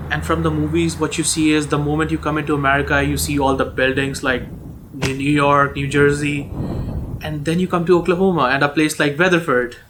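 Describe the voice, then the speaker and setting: A fairly high-pitched man at a fairly quick pace, with fairly even intonation and noticeable background noise. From India, New Delhi. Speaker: international student. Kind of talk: documentary interview.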